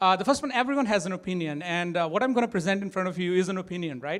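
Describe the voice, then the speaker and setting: Recorded very cleanly against a silent background, a man with a strong Indian accent speaks in a high pitch and a bright, sharp tone, with ordinary pitch variation. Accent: thick Indian. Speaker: tech startup co-founder and CTO. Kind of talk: conference talk. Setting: stage with audience. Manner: hesitant, many fillers.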